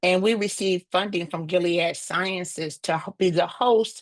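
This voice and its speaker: Someone with an American accent talks at a moderate pace in a dry, close recording with no echo. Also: woman. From US South. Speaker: nonprofit director and HIV advocate. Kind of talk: webinar presentation.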